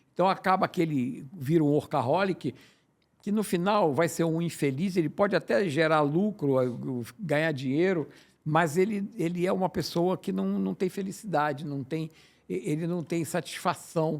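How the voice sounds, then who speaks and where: The recording is very clean, with a silent background. A man speaks in a high voice. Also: ordinary pitch variation, moderate pace. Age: 80s+. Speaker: podcast host and business consultant. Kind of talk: podcast interview. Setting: studio. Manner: halting, repeats words.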